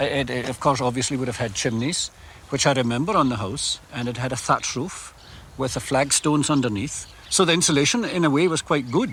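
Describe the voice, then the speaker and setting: A man's medium-pitched voice at a fairly quick pace, ordinary pitch variation and noticeable background noise. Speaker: farmer. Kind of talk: interview answer. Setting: outdoors. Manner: hesitant, with frequent fillers.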